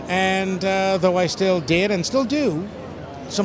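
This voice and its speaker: With noticeable background noise, a man speaks at a high pitch with ordinary pitch variation. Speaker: voice actor. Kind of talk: interview answer. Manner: casual, chatty.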